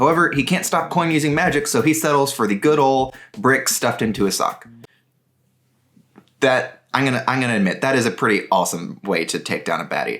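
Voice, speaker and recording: Lively in his intonation, a man with an unremarkable speaking voice talks at a fairly quick pace and a medium pitch. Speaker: book reviewer. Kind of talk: book summary and review.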